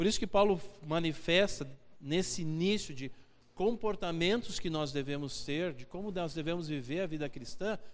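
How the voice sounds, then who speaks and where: Moderately paced male speech with lively intonation. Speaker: preacher. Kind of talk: sermon, expository Bible teaching to a congregation, with a closing prayer. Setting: church. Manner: earnest and conversational, pausing to repeat key phrases for emphasis; direct, exhorting the listeners, with rhetorical questions.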